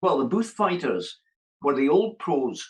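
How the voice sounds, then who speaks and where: In a Scottish accent, a man speaks at a fairly slow pace. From Scotland. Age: 70s. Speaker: boxing coach. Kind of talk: interview answer.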